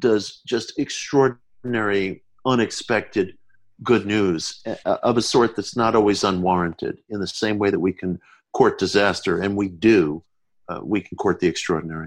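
Over a quiet background, a man speaks at a fairly slow pace and a fairly low pitch with ordinary pitch variation and a plain, everyday voice. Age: 50s. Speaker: author. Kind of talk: interview. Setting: remote call from home.

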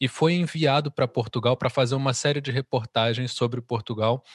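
A man with a Brazilian accent speaks with ordinary pitch variation, the sound dry and close with no echo on a very clean recording with a silent background. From Brazil, Rio de Janeiro. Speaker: musician. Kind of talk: interview.

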